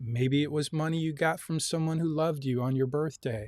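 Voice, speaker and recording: An unremarkable speaking voice, a man's with an American accent, fairly high in pitch with ordinary pitch variation, dry and close with no echo. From US Midwest, Lansing Michigan. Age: 60s. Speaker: university instructor. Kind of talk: online lecture. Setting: video call.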